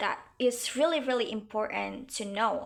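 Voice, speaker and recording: The speaker talks fairly slowly in a West Javanese accent, with ordinary pitch variation. The recording is very clean, with a silent background. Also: woman. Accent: Indonesian (Sundanese). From Indonesia (West Java, Sundanese). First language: Sundanese. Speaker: university student. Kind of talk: class presentation. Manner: halting, many fillers.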